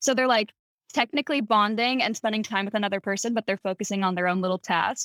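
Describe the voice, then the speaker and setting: The sound is dry and close, with no echo. The delivery is very fast. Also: woman, fairly high pitch for a woman, ordinary pitch variation. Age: 20s. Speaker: actress. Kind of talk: casual chat.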